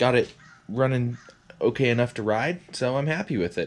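Noticeable background noise fills the clip. A man speaks at a moderate pace. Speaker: hobby vlogger. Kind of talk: casual vlog chat. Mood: pleased, relaxed. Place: garage. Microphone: phone near.

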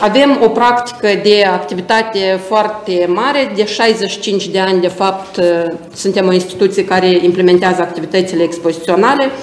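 Audible room echo surrounds the voice. Its pitch varies in an ordinary way. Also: woman, medium pitch for a woman, moderate pace. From Moldova. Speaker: exhibition centre director. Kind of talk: presentation. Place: office.

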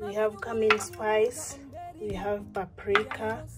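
A woman speaks at a very slow pace over clear background music. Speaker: home cook vlogger. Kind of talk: casual cooking tutorial. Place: kitchen. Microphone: phone near.

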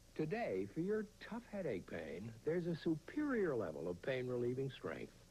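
With a dark, mellow tone and a somewhat breathy quality, the voice moves at a moderate pace with hardly any pauses and very wide pitch swings. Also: man, fairly high pitch for a man. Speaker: actor, commercial voice-over artist. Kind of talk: TV commercial read.

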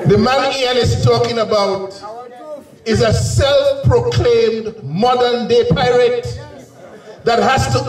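Over light background noise and audible room echo, a man speaks at a very slow pace with very even loudness. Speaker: speaker. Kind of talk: campaign rally speech. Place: stage.

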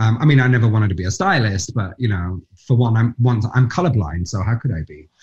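The speech runs at a very fast pace with lively intonation and big swings in loudness. The voice is somewhat breathy, and the background is quiet. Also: man, medium pitch for a man. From Nottingham, England; England. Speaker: actor; interview guest, actor. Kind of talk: interview answer. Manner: animated storytelling. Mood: animated, amused storytelling. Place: home room. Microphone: video call.

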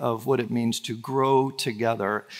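A man's speech moves at a fairly slow pace over a quiet background. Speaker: pastor. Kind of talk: sermon. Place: church. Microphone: headset.

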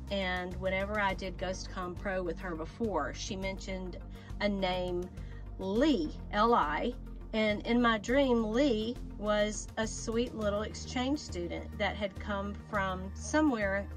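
Clear music plays behind the voice, and the sound is dry with no echo. The pace is very slow. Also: woman. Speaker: doll channel host. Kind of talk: casual vlog chat. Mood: warm, playful. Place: home room. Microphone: phone near.

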